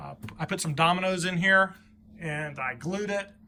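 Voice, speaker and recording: A man speaks at a fairly high pitch. His words come out mumbled. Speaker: hobbyist woodworker and motorcycle vlogger. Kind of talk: casual vlog. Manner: halting, stuttering; mumbling.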